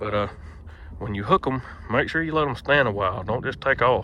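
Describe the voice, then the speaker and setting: A man with a Southern US accent, lively intonation and a moderate pace. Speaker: mule logger and horse trainer. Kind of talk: tutorial.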